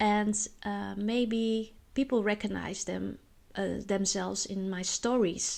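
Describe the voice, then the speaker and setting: In a Dutch accent, a woman speaks at a very slow pace. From Netherlands. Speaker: spiritual vlogger. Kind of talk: personal monologue vlog. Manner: halting, many filler words.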